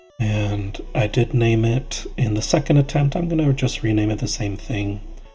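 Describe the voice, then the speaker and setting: Over music in the background, a soft-spoken man mumbles at a moderate pace and medium pitch with ordinary pitch variation. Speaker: gaming youtuber. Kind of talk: casual let's play commentary. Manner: mumbling.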